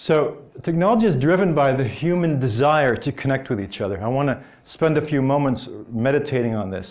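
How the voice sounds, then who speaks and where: A man with an American accent talks at a fairly quick pace with lively intonation, with audible room echo and noticeable background noise. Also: fairly high pitch for a man. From Belgium, Brussels; learned English in New Jersey. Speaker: business development strategist, conference speaker. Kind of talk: conference talk. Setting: stage with audience at conference.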